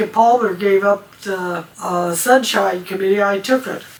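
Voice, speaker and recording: Noticeable background noise behind a woman talking at a fairly slow pace, her pitch medium. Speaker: amateur radio operator. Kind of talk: interview. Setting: at home.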